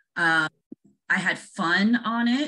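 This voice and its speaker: A woman's bright, sharp tone with ordinary pitch variation. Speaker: interview guest. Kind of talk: interview answer. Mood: friendly, animated. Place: home room. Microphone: video call.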